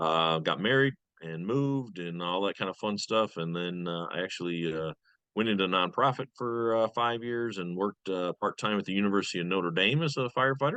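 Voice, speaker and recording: The speaker talks at a fairly quick pace with a slight Michigan accent and ordinary pitch variation. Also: man, fairly low pitch for a man. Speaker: fire lieutenant and safety coordinator. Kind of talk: interview self-introduction. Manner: frequent uh fillers.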